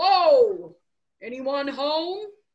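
A put-on character voice sits at an extremely high pitch. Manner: exaggerated, playful.

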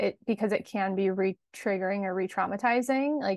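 Against a quiet background, a woman with an American accent talks fairly quickly at medium pitch with ordinary pitch variation. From Los Angeles, California. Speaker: embodiment coach and yoga teacher. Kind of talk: casual interview chat.

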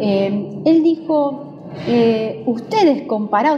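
Music plays in the background as a woman speaks in a high pitch. Her pitch swings very widely. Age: 40s. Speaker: judge. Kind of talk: interview.

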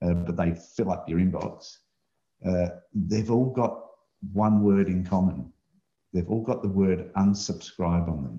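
An Australian accent carries this man's very deep, low pitch and dark, mellow tone. He goes at a fairly slow pace with long, frequent pauses. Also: ordinary pitch variation. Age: 60s. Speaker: remote work business owner. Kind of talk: casual chat.

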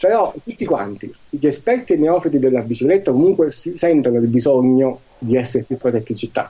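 A man with a normal speaking voice talks at a fairly quick pace with hardly any pauses, a medium pitch and lively intonation. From Marcianise, Campania. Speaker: cycling advocacy association president. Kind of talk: interview.

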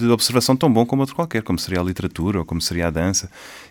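Pitch varies in an ordinary way as a man talks. The recording is very clean, with a silent background. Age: 30s. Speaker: orchestra conductor. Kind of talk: casual chat.

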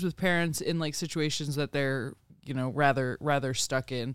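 With an American accent, a man speaks at a fairly high pitch with ordinary pitch variation. His pace is moderate, and the recording is very clean with a silent background. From Pennsylvania, US. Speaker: podcast co-host. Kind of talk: casual interview. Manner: halting.

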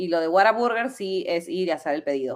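Speaking with an ordinary speaking voice, a woman keeps a moderate pace and ordinary pitch variation. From Peru, Lima. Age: 30s. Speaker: delivery driver and podcast guest. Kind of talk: casual chat.

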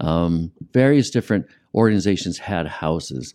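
A man with an American accent has a dark, mellow tone and lively intonation against a quiet background. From US Midwest and California (Ohio, San Diego). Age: 60s. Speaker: composer and multi-instrumentalist, therapist. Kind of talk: interview. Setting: studio.

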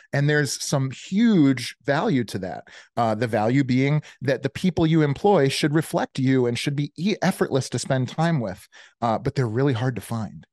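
A man with an American accent has a plain, everyday voice with a fairly high pitch, speaking at a moderate pace. The sound is dry and close with no echo, over a quiet background. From Chicago. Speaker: business coach and army veteran. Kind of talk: casual interview.

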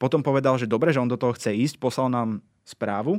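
Against a quiet background, a man talks at a very fast pace. His medium pitch shows ordinary variation. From eastern Slovakia (Spiš). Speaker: podcast creator and scriptwriter. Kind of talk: casual chat.

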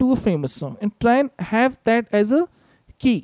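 Lively intonation marks this man's high-pitched voice, which has a dark, mellow tone. He speaks at a moderate pace, and the sound is dry and close with no echo. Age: 30s. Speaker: musician. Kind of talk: casual chat.

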